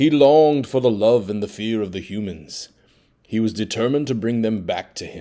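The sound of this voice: With ordinary pitch variation, the speaker reads in an unforced reading voice.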